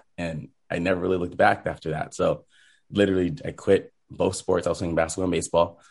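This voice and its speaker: Over a quiet background, a man with an American accent and a very deep, low pitch rattles along at a very fast pace in a monotone, flat intonation. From Southern California, Rancho Cucamonga. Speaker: choreographer and former pro cheerleader. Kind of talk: interview.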